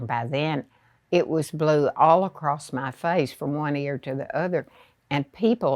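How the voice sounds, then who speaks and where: Spoken fairly slowly with a Southern US accent and ordinary pitch variation. The sound is dry and close with no echo, over a quiet background. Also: woman, very deep, low pitch for a woman. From rural Arkansas. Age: 90s. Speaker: retired teacher. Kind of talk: interview storytelling. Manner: hesitant, with fillers.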